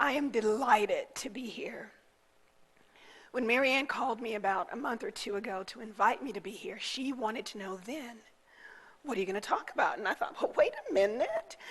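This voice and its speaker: A woman talks at a moderate pace with big swings in loudness over noticeable background noise. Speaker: guest minister. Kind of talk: sermon. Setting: church.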